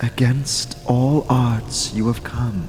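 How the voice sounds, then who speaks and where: A man's put-on character voice at a medium pitch, solemn in tone, with clear background noise. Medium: audio drama. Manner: solemn, measured.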